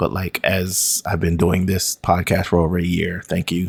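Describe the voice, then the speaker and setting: Using a very deep, low pitch, a man speaks at a moderate pace with monotone, flat intonation. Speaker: podcast host. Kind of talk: casual solo podcast monologue. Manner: rambling with many fillers.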